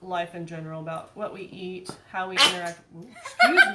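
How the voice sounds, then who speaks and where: This woman's voice has a bright, sharp tone. Audible room echo surrounds it. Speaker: vlogger. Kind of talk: casual chat. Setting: garage. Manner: soft-spoken; halting.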